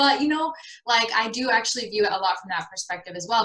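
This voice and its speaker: In a Miami accent, a woman talks at a fairly quick pace with an animated tone. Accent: American, Miami. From South Florida, Miami. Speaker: beauty pageant expert and show host. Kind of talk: casual podcast chat.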